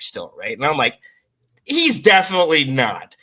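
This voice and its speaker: Bright and sharp in tone, a man speaks animatedly at a high pitch. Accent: Canadian. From Canada, near Toronto. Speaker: content creator. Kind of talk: casual chat.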